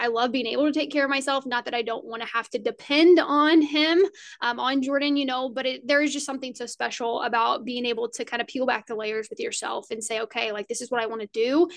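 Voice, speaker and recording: A high-pitched woman with an American accent, talking very fast with hardly any pauses against a quiet background. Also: ordinary pitch variation. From Indiana. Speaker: podcast host. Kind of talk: casual interview chat.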